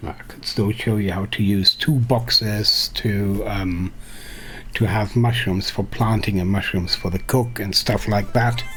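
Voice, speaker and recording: With noticeable background noise behind him, a man speaks at a fairly slow pace in a fairly low pitch with fairly even intonation. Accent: non-native. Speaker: game streamer. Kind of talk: live stream gameplay tutorial. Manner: mumbling; halting.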